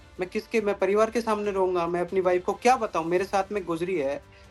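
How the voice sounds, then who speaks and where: Music in the background beneath speech with ordinary pitch movement. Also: man. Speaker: temple devotee, viral video subject. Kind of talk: interview answer.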